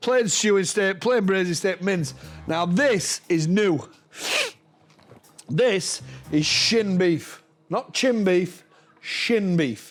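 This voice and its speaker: A man with a Yorkshire accent and a high pitch, at a very slow pace with long, frequent pauses, very even loudness and ordinary pitch variation, over music in the background. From Yorkshire, northern England. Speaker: butcher. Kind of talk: sales pitch. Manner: animated.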